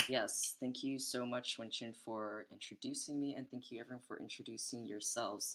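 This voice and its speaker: The pace is moderate. There are hardly any pauses. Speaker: artist and curator running workshops. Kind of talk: online workshop talk. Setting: online community call.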